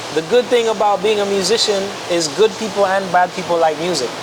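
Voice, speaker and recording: At a moderate pace, a man with an American accent and a high voice talks with fairly even intonation over noticeable background noise. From Miami, Florida, Jamaican family. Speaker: pianist and music producer. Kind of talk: casual interview chat.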